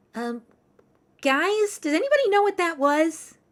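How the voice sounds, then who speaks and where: A woman uses a put-on character voice, extremely high and squeaky, with very wide pitch swings. Her pace is moderate. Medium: actual play.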